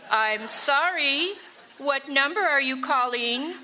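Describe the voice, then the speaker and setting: In a put-on character voice, a woman speaks high-pitched and fairly slowly over light background noise. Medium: stage play. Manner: formal, repetitive, unhurried.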